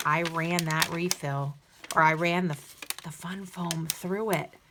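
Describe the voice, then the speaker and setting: Noticeable background noise sits behind a woman with fairly low pitch. She speaks at a very slow pace with monotone, flat intonation. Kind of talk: tutorial. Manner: casual, with many fillers; talking low.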